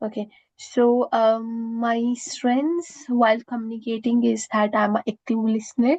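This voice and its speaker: A woman with an Indian accent at a fairly slow pace, her intonation fairly even. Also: fairly high pitch for a woman. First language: Indian language. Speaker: student job applicant. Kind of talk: mock job interview. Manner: halting, many fillers.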